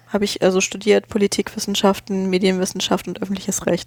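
Medium-pitched female speech against noticeable background noise. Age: 20s. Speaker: podcaster. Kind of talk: casual chat. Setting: studio.

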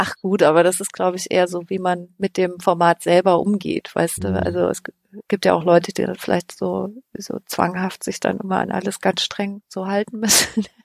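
Moderate pacing from a woman, the sound dry and close without any echo. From Thuringia, eastern Germany (Weimar). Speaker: podcast researcher. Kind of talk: casual interview. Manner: hesitant, many fillers.

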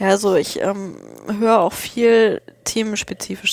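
The speaker is a woman at a medium pitch. She delivers her words in a monotone, flat way. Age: 20s. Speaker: podcaster. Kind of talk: casual chat. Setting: studio.

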